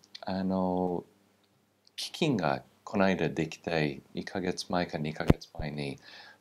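A man with a very deep, low pitch at a very slow pace, ordinary pitch variation and light background noise. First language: English (speaking Japanese). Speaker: political scientist, former military base official; guest. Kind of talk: interview. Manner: halting, many fillers. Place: studio. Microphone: lapel.

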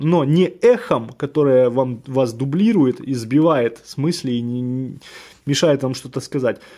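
In a very clean recording with a silent background, a man with a fairly high pitch and a dark, mellow tone speaks at a fairly slow pace with lively intonation. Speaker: tech reviewer. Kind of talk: product review. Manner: casual.

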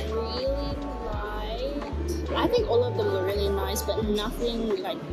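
With loud music playing in the background, a woman talks at a fairly slow pace. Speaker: food reviewer. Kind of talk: casual vlog chat. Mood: relaxed, cheerful. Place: cafe. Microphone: phone near.

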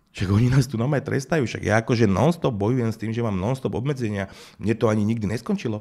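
Over a quiet background, a man talks at a very fast pace in a dark, mellow tone with ordinary pitch variation. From Slovakia. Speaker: music manager turned political candidate; interview guest, politician. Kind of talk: interview. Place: studio. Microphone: studio mic.

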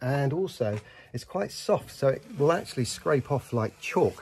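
Here a man speaks at a moderate pace. His tone is dark and mellow, and somewhat breathy. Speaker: house renovator vlogger. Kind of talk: casual vlog chat. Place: street. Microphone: phone near.

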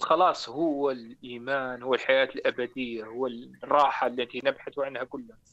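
Against a quiet background, a man with a bright, sharp tone talks at a moderate pace in a monotone, flat intonation, with hardly any pauses. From Morocco. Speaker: caller. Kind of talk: live call-in testimony. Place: studio. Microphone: lapel.

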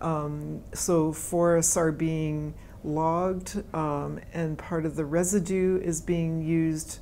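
Over light background noise, a woman with a western Canadian accent talks fairly slowly in a fairly low pitch, her dark, mellow tone held to a monotone, flat intonation. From Canada (British Columbia). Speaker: forest ecologist, professor; professor. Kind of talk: interview answers. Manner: hesitant, many fillers and repetitions. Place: meeting room. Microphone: lapel.

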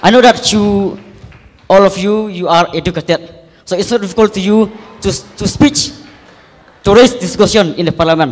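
Pitched high, a man speaks with long, frequent pauses. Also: ordinary pitch variation, moderate pace. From Meghalaya, India. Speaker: college student. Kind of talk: public speech to politicians. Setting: college auditorium with audience. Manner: halting. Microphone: handheld.

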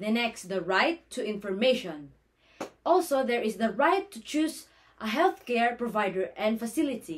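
In a Filipino accent, a woman with a fairly high pitch speaks at a moderate pace with very wide pitch swings over light background noise. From Philippines. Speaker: nursing student. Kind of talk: class presentation. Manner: formal. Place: home room. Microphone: phone near.

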